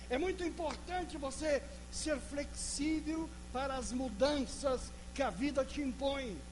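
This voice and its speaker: A man talks fairly slowly in a room with audible echo, noticeable noise behind him. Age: 60s. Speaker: pastor. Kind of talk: sermon.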